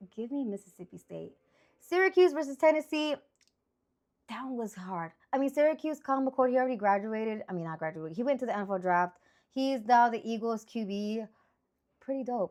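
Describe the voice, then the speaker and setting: The delivery is animated, with very wide pitch swings and big swings in loudness. The pace is fairly quick, broken by long, frequent pauses. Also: woman. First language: Spanish. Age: 30s. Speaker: sports picks streamer. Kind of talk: casual monologue.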